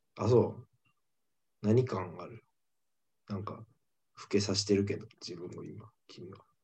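A man's fairly low, somewhat breathy voice in a Kansai accent, dark and mellow in tone, with fairly even intonation, big swings in loudness, and long, frequent pauses. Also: fairly slow pace. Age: 20s. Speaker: comedian, podcast co-host. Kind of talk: casual chat.

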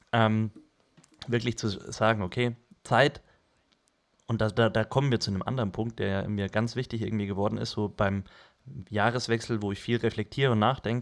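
Against a very clean recording with a silent background, a man speaks at a fairly quick pace in a monotone, flat way, with long, frequent pauses. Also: fairly low pitch for a man. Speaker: podcast co-host. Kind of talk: casual chat.

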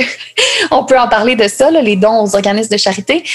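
Noticeable background noise beneath fairly quick speech of ordinary pitch variation. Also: woman. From Quebec City, Quebec. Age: 20s. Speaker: sustainable fashion designer and entrepreneur. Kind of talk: interview.

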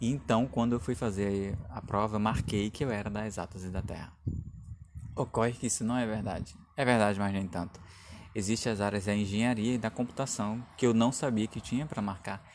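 A man with a fairly low pitch speaks at a fairly quick pace, keeping his intonation fairly even. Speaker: podcaster and doctoral student. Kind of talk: casual solo podcast talk. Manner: hesitant, with fillers.

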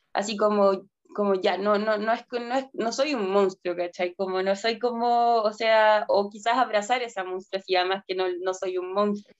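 A woman at medium pitch, fairly slow in pace, with fairly even intonation. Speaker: anthropologist and researcher. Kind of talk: interview testimony.

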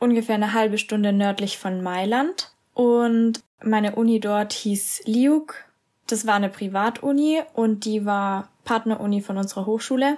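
In a plain, everyday voice, a woman speaks fairly slowly at a fairly high pitch, with ordinary pitch variation. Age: 20s. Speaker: university student. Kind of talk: casual interview.

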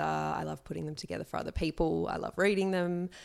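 A woman with an Australian accent, in a very clean recording with a silent background. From Sydney, Australia. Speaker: magazine editor and journalist. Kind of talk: interview conversation.

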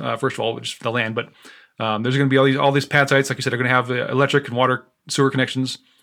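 A man with an American accent talks at a very fast pace in a medium pitch with flat, monotone intonation, recorded very cleanly against a silent background. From Nebraska, near Omaha. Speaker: RV park investor. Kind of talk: interview. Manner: halting, many repeated words.

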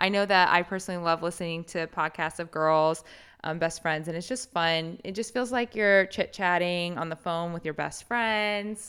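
In a very clean recording with a silent background, a woman with an American accent uses a normal speaking voice at a fairly low pitch and a moderate pace. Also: ordinary pitch variation. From Indiana, US Midwest. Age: 20s. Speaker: podcast co-host. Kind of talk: casual chat.

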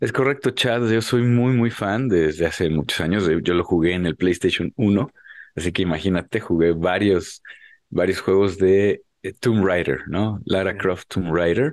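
A man's very deep, low pitch with ordinary pitch variation and very even loudness, over a quiet background. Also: fairly slow pace. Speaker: podcast co-host. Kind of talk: casual chat.

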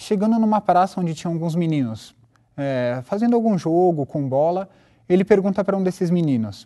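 This man's voice is high-pitched and dark and mellow in tone, with very wide pitch swings. The background is quiet. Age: 20s. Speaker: religious teacher. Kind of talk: lecture.

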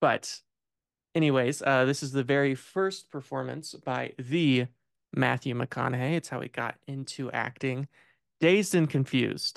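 A man with a US Midwestern accent speaks at a fairly slow pace in a medium pitch with ordinary pitch variation, his voice dry and close with no echo against a quiet background. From Indiana, US Midwest. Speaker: film podcast host. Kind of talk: casual chat.

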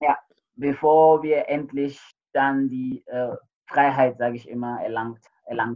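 A man with a fairly high pitch talks at a very slow pace in a monotone, flat intonation, with big swings in loudness and long, frequent pauses. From Sierra Leone (Freetown). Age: 30s. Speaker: chemical lab technician, civil war witness. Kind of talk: interview.

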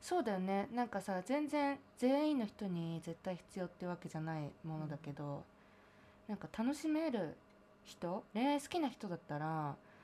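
Her tone is dark and mellow, her pitch medium. This woman speaks at a moderate pace with very wide pitch swings. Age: 20s. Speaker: singer-songwriter. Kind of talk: casual chat.

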